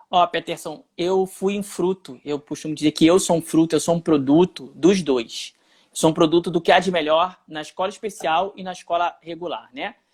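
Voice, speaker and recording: Recorded dry and close with no echo against a silent background in a very clean recording, a man speaks at a moderate pace in a high pitch with fairly even intonation. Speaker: journalist and youtuber. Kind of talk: live stream interview. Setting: Instagram live video, home alone.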